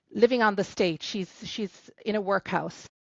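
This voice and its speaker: A woman speaks at a fairly slow pace in an Irish accent. Her pitch is medium, with ordinary variation. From Ireland, County Clare. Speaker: novelist. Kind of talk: podcast interview. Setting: podcast recording.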